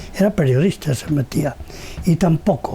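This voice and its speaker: Noticeable background noise sits behind the speech. The pace is moderate. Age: 80s+. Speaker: retired newspaper founder. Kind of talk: interview. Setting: at home. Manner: halting.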